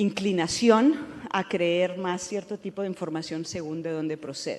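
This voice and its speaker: A woman in a Spanish accent, fairly low in pitch, at a moderate pace with ordinary pitch variation. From Spain. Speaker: professor. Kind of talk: panel discussion. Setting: stage with audience. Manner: halting, many fillers.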